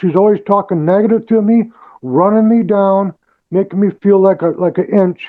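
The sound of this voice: A man's high-pitched voice at a moderate pace.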